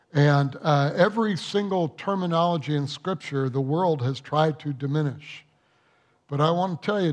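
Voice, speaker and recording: A man talks at a moderate pace against a quiet background, with ordinary pitch variation. He has an ordinary speaking voice. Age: 60s. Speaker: pastor. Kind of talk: sermon. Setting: church.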